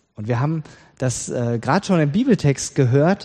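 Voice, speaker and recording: A normal speaking voice from a man, fairly high-pitched, with lively intonation at a moderate pace. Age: 40s. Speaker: pastor. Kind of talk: sermon.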